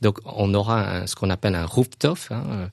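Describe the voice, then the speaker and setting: There is a quiet background. A man talks at a fairly slow pace. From Laos, raised in France from age 8. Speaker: business school director. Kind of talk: interview. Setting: studio. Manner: halting, many hesitations.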